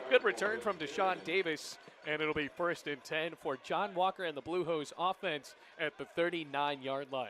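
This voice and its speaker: Noticeable background noise sits under this recording. A man speaks at a high pitch with ordinary pitch variation. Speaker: play-by-play sports broadcaster. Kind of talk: football play-by-play call. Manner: fast, energetic.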